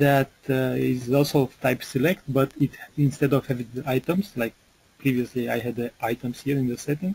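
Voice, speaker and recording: A man with a somewhat breathy, dark, mellow tone speaks at a medium pitch with ordinary pitch variation, the sound dry and close with no echo. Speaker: software developer presenting product webinar. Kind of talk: webinar product demo. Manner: hesitant, many fillers.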